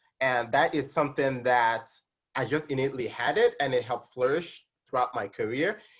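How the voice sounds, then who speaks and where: The speaker has a slight Nigerian accent. Delivery is fairly quick, with ordinary pitch variation. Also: man, medium pitch for a man. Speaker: tax specialist and accounting instructor. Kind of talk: interview. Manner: hesitant, many fillers.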